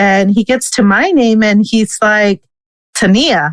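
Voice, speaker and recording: A woman speaks with a Spanish accent in a dry, close sound with no echo. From US, daughter of Salvadoran immigrants. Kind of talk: interview conversation.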